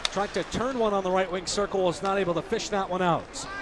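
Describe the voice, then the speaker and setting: Amid noticeable background noise, a man with a high pitch speaks at a fairly quick pace with fairly even intonation. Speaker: radio play-by-play broadcaster. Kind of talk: live hockey radio play-by-play. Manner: fast.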